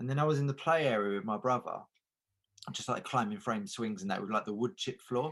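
A man with an ordinary speaking voice at medium pitch, lively intonation and a fairly quick pace. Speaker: comedian panellist. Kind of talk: comedy panel show chat.

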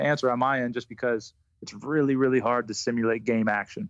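Talking at a fairly quick pace, a man uses an ordinary speaking voice of medium pitch. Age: 30s. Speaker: basketball shooting coach. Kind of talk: casual interview.

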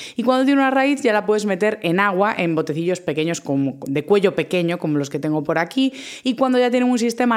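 Animated in tone, a woman talks at a fairly quick pace and medium pitch with very wide pitch swings. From Galicia, A Coruña. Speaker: science communicator and podcast host. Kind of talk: solo podcast monologue.

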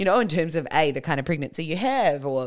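A woman with an Australian accent speaks with lively intonation on a very clean recording with a silent background. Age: 30s. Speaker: podcast host. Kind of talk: casual interview chat.

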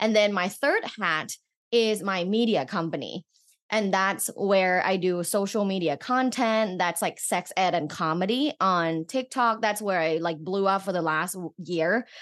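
A woman speaks in a Thai accent at a medium pitch with ordinary pitch variation. Her pace is fairly slow, and the background is quiet. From Thailand. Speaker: sex educator and researcher. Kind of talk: casual interview chat.

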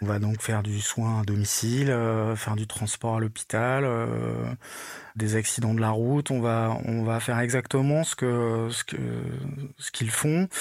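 At a fairly slow pace, a man speaks with long, frequent pauses. His pitch is medium and his intonation fairly even. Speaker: volunteer first aider and music tour manager. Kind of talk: testimony. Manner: halting, many fillers and repetitions.

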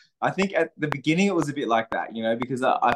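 With an Australian accent, a man speaks in lively intonation, the sound dry and close with no echo. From Australia, south coast of New South Wales. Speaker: country musician. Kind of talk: casual interview.

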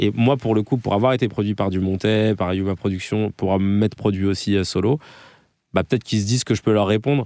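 A man's fairly low, dark, mellow voice at a fairly quick pace, with fairly even intonation and very even loudness, in a very clean recording with a silent background. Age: 30s. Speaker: comedian and podcast host. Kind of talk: interview. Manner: casual.

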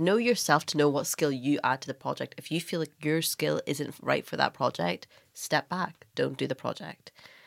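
With a Northern Irish accent, a woman speaks at a very deep, low pitch with vocal fry and lively intonation, at a moderate pace with hardly any pauses, in a dry, close sound with no echo. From Northern Ireland. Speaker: writer, stylist and documentary maker. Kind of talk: casual interview chat.

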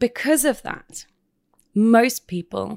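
A woman in a British accent talks with lively intonation. The recording is very clean with a silent background and a dry, close sound with no echo. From United Kingdom. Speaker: clinical psychologist. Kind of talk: casual interview. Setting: studio.

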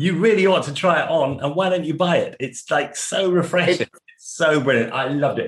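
Talking at a fairly quick pace, a man with an English accent has a high pitch and ordinary pitch variation. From England, Suffolk. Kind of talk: casual interview. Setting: remote call.

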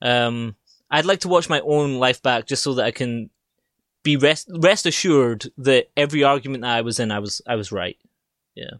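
On a very clean recording with a silent background and a dry, close sound with no echo, a man with a Scottish accent speaks at medium pitch and a moderate pace with ordinary pitch variation. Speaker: podcast guest. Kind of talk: casual chat.

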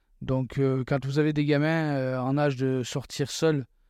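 In a very clean recording with a silent background, a man with fairly high pitch and a dark, mellow tone speaks very slowly with monotone, flat intonation. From southern France. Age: 40s. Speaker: former police officer, expatriate father. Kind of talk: casual interview chat.

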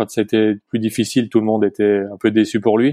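A man speaks in a dry, close sound with no echo against a quiet background. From Haute-Savoie, French Alps. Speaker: former ski racer and entrepreneur. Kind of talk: interview. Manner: hesitant.

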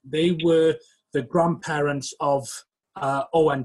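A somewhat breathy man with a Welsh accent, fairly high in pitch, with ordinary pitch variation and a moderate pace. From West Wales. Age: 30s. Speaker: historian and author. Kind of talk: interview. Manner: hesitant, many fillers.

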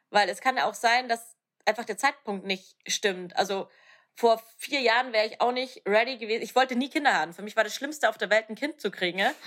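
A woman's fairly high-pitched, ordinary speaking voice with ordinary pitch variation. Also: fairly quick pace. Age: 30s. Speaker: podcast host, coach. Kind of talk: casual chat.

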